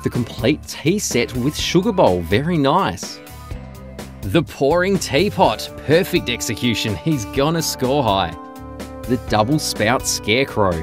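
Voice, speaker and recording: Over music in the background, a man talks at a fairly slow pace with medium pitch, very wide pitch swings and very even loudness. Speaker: voice-over narrator. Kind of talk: comedic sports commentary narration.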